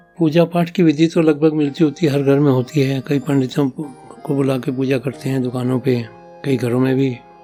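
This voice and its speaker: A man speaks at a medium pitch as music plays in the background. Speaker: father sharing life stories. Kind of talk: podcast interview answer. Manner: conversational, reminiscing.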